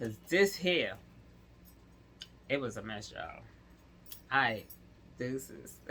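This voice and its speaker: With music in the background, a woman speaks fairly slowly in an animated tone with lively intonation. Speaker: vlogger. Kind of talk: casual vlog.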